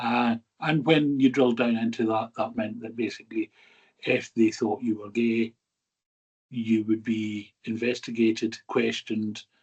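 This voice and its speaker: A man's medium-pitched voice unfolds at a fairly slow pace. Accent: Scottish. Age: 50s. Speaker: RAF veteran. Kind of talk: interview.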